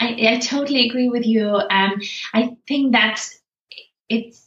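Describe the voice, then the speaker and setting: A woman's fairly high-pitched voice, an ordinary speaking voice, at a moderate pace. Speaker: positive psychologist and senior lecturer. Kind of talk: casual interview. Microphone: poor audio quality.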